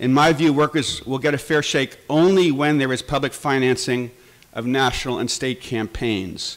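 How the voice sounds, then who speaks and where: A man has a plain, everyday voice at a medium pitch, with an American accent. He speaks at a moderate pace with ordinary pitch variation. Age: 60s. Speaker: labor journalist. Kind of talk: conference speech.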